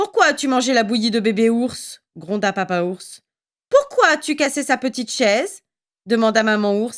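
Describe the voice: This is plain reading aloud with ordinary pitch variation against a quiet background.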